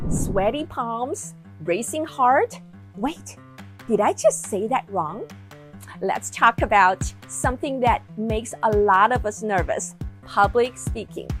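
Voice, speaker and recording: A woman with a non-native accent at a very slow pace, music in the background. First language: not English. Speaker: executive coach. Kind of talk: casual talk to camera.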